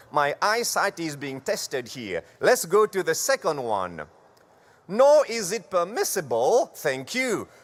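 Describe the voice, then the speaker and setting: Speaking at a fairly slow pace, a man with a French accent uses a high pitch that swings very widely. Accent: French-accented English (Franglish). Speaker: church conference presenter on parliamentary procedure. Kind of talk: formal instructional presentation. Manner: formal, deliberate.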